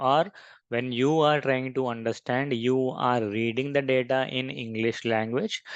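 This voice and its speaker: A man at medium pitch with an Indian accent, fairly even intonation and a moderate pace, dry and close with no echo, over a quiet background. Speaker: software trainer. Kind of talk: tutorial.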